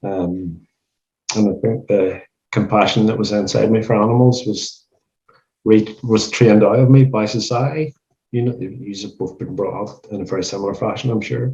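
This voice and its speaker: A somewhat breathy man with a Northern Irish accent, a dark, mellow tone and fairly even intonation. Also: fairly low pitch for a man, moderate pace, big swings in loudness. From Northern Ireland. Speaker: animal rights street activist. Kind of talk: casual podcast conversation.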